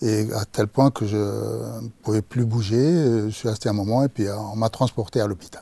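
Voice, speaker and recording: In a dark, mellow, somewhat breathy voice, a man talks at a fairly slow pace with fairly even intonation. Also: dry, close sound with no echo. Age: 60s. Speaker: cancer patient. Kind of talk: testimony. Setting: studio. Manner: halting, many hesitations.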